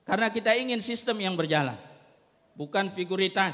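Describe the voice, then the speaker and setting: Here a man speaks at a moderate pace. His pitch is high. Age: 30s. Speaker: head of an Islamic school foundation. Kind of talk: formal ceremony speech. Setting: graduation ceremony.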